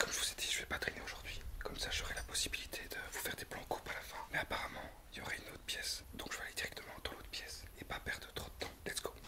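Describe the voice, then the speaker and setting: A man whispering at a very fast pace with hardly any pauses, over noticeable background noise. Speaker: urban explorer, video creator. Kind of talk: walkthrough narration. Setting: indoors in abandoned farmhouse. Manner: hesitant, many fillers.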